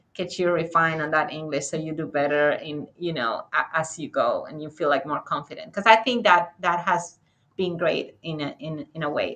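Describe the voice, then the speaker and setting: A woman's very deep, low voice in a strong Spanish accent, fairly quick, with ordinary pitch variation. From Dominican Republic. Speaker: architect and author. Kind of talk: interview conversation. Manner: halting.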